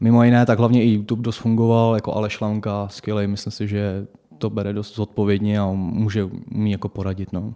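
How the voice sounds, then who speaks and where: A man with a fairly low pitch and a dark, mellow tone speaks at a fairly quick pace in a monotone, flat intonation on a very clean recording with a silent background. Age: 20s. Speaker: fitness trainer. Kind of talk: interview. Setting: studio.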